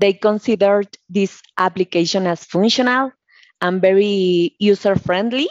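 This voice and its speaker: The speaker talks at a fairly slow pace in a Mexican accent, with ordinary pitch variation. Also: woman. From Mexico. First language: Spanish. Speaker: process engineer. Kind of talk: interview.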